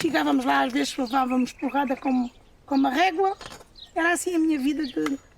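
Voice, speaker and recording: A woman's high-pitched voice, long frequent pauses, and noticeable background noise. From Portugal, Alentejo (Évora). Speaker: farm worker. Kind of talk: testimony.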